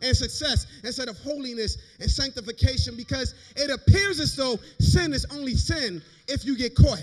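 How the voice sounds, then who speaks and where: Over noticeable background noise, a man speaks at an extremely high pitch with lively intonation and big swings in loudness. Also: moderate pace. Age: young. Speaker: preacher. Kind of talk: sermon. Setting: church service. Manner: impassioned, rhythmic.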